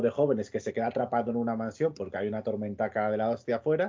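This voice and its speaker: A plain, everyday voice. Its pitch varies in an ordinary way. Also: man. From Extremadura, Spain. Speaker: podcast co-host. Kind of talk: casual chat.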